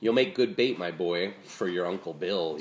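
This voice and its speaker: At a moderate pace, a put-on character voice comes out growling. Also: man, very deep, low pitch for a man. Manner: growling, menacing.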